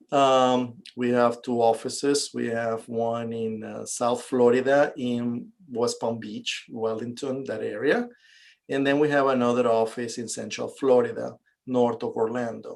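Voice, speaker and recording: With a Venezuelan accent, a man speaks at a fairly slow pace in a medium pitch. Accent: Venezuelan Spanish accent, noticeable. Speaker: real estate investor and realtor. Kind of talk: interview.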